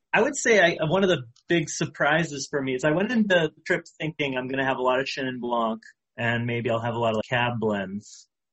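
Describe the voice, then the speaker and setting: Lively in intonation, a man with an American accent and an unremarkable speaking voice talks at a fairly quick pace. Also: medium pitch for a man. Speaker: sommelier. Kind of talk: casual interview.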